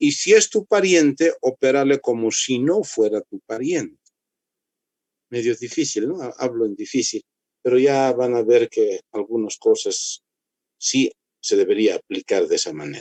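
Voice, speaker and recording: A man speaks at a fairly slow pace. The sound is dry and close, with no echo. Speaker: medical lecturer, orthopedic doctor. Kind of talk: lecture. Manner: dry, strict.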